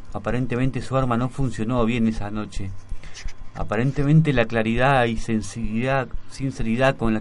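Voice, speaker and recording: With music in the background, a man at a medium pitch talks at a fairly quick pace in a fairly even intonation. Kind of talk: radio chat with poem reading.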